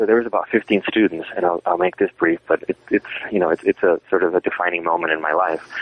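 With an American accent, a man speaks very fast with hardly any pauses and very even loudness against noticeable background noise. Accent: South Texas Mexican American English. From South Texas border region. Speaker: historian and author. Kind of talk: interview. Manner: halting, many fillers.

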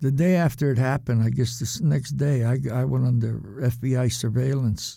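With a New England accent, a man talks at a moderate pace with hardly any pauses, using a medium pitch and ordinary pitch variation. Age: 70s. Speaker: former card cheat. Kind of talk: interview storytelling.

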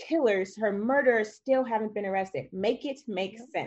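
A woman with a normal speaking voice and an American accent, medium pitch and ordinary pitch variation, over a quiet background. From US Midwest, Madison, Wisconsin. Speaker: panelist. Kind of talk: panel discussion.

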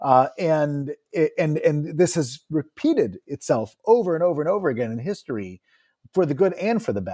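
Recorded dry and close with no echo on a very clean track with a silent background, a man with an American accent has a dark, mellow tone, a fairly high pitch, and very wide pitch swings. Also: moderate pace. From New Jersey. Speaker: university founder and chief executive. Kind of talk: interview.

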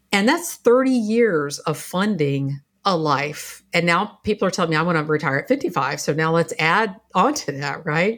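A woman uses a normal speaking voice at a fairly low pitch and a moderate pace. Her intonation is lively. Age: 50s. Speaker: business coach and former lawyer. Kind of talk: interview.

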